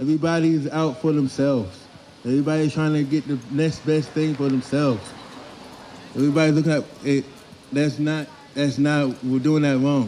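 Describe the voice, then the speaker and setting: A man with a fairly high voice talks at a moderate speed. His intonation stays fairly even, and background noise is noticeable. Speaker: street interviewee at protest. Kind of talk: impassioned street speech.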